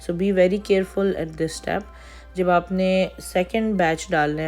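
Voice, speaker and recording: A woman speaking at a fairly slow pace, with music in the background. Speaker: baking instructor. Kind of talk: tutorial.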